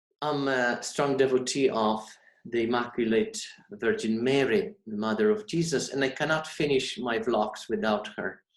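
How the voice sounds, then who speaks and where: Heard with audible room echo, a man with a Polish accent talks at a moderate pace and medium pitch, using lively intonation. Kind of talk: sermon. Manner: formal.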